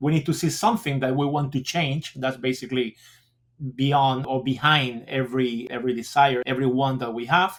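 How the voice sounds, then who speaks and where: The speech moves at a moderate pace. It carries a Spanish accent. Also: man. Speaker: school principal. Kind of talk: interview. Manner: halting.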